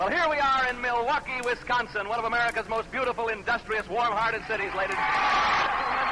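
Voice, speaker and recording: A man speaks in a raised, projected voice at an extremely high pitch, with very even loudness. He hardly pauses, and noticeable background noise runs underneath. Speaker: radio game show host. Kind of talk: live radio game show hosting. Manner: upbeat, fast.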